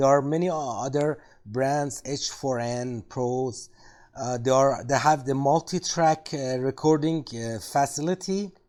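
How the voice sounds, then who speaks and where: In a very clean recording with a silent background, a man with a fairly high pitch speaks at a fairly slow pace with ordinary pitch variation. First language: not English. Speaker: tech video creator. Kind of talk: product review tutorial. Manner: halting, many fillers.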